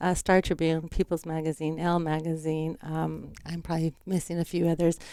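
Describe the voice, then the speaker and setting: A woman's fairly low pitch and dark, mellow tone, monotone, flat intonation at a fairly quick pace. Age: 60s. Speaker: cleaning business owner and author. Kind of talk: interview.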